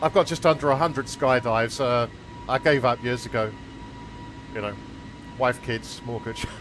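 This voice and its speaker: At a moderate pace and with ordinary pitch variation, a speaker with a British accent takes long, frequent pauses against noticeable background noise. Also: man, medium pitch for a man. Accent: UK. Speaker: flight sim streamer. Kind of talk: casual chat.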